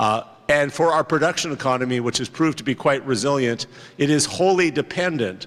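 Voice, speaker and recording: An ordinary speaking voice from a man with a Canadian accent and ordinary pitch variation. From Canada, Montreal. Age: 50s. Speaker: politician. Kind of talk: conference speech.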